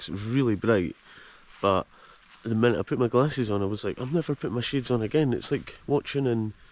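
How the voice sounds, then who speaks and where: Delivered at a very fast pace in a Scottish accent, the speech has lively intonation. The tone is animated. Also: man. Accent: Scottish (Fife). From Scotland, Fife. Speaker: travel vlogger. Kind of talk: casual vlog narration. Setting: outdoors.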